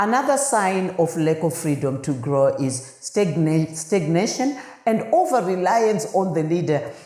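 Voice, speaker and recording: A woman with a non-native accent speaks fairly slowly in a fairly low pitch, animated and with very wide pitch swings, her loudness very even, amid audible room echo and noticeable background noise. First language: not English. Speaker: podcast host, leadership consultant. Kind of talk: podcast monologue on leadership. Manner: halting with fillers.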